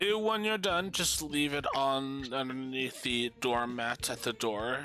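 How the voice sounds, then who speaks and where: A put-on character voice with lively intonation at a fairly slow pace, clear music in the background. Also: man, medium pitch for a man. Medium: actual play. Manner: warm, motherly.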